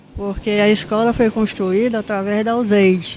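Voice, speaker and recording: A woman's medium-pitched, monotone voice at a moderate pace, with noticeable background noise. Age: 80s+. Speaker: retired school principal. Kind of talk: interview, life story. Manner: halting, with repetitions.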